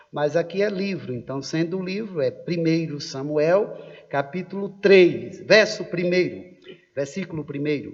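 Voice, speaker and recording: Speaking at a fairly slow pace, a man with a high-pitched voice shows ordinary pitch variation amid noticeable background noise. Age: middle-aged. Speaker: pastor. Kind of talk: sermon. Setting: church service livestream. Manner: animated.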